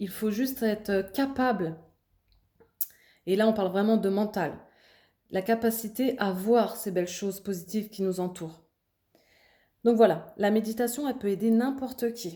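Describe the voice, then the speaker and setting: Her tone dark and mellow and her pitch fairly high, a woman speaks with long, frequent pauses. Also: ordinary pitch variation. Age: 30s. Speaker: meditation vlogger. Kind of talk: explanatory talk to camera. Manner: hesitant, with fillers.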